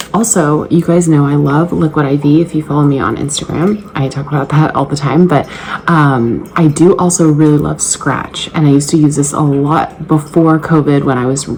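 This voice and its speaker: A woman speaks at a moderate pace with hardly any pauses, over noticeable background noise. Her pitch is very deep and low, her intonation fairly even. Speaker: fitness vlogger and trainer. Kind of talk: casual vlog. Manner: whispering.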